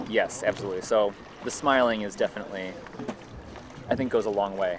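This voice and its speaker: Noticeable background noise sits under a man speaking at a very fast pace. His voice is fairly low, with fairly even intonation. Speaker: livestream commentator. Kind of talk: live event commentary and interview.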